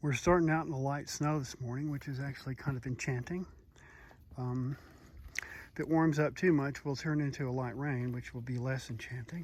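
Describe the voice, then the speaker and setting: This is a normal speaking voice. It moves at a fairly quick pace with fairly even intonation. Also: man, fairly high pitch for a man. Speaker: hiker vlogger. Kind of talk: casual vlog narration. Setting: outdoors on trail.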